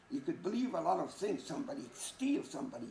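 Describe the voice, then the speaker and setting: Over noticeable background noise, a man's voice moves through very wide pitch swings. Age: 70s. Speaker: Holocaust survivor. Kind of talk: testimony. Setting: school audience.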